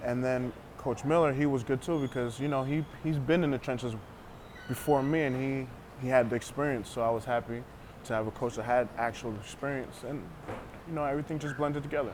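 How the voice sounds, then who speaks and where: Medium-pitched man, fairly quick and fairly even in intonation, amid noticeable background noise. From US, Panamanian family. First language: Spanish. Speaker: arena football player. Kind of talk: interview. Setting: tavern. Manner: halting.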